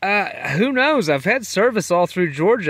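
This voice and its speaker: Background noise is noticeable behind this man. He talks with lively intonation in an American accent. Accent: Texas accent, coming back. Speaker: long-distance hiker, podcaster. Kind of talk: casual spoken trail diary. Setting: in a tent on the trail. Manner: relaxed, rambling with many fillers.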